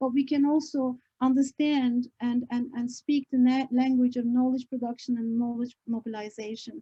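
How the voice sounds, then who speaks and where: In a dry, close sound with no echo, a woman with a non-native accent speaks at a moderate pace in a high pitch, her dark, mellow tone held to a monotone, flat intonation. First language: not English. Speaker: professor. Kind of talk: book launch talk. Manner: halting, many fillers.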